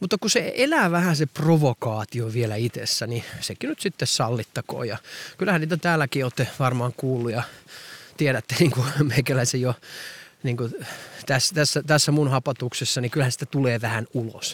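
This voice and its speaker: The man's voice is somewhat breathy, with a medium pitch. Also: ordinary pitch variation, moderate pace, dry, close sound with no echo. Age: 40s. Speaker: podcaster. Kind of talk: walking monologue podcast. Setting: outdoors, walking.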